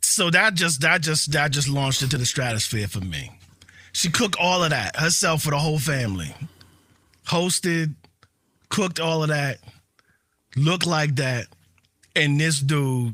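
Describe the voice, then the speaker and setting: A man's fairly high, bright, sharp voice at a moderate pace, with ordinary pitch variation and long, frequent pauses. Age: 40s. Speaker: podcast co-host. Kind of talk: casual chat.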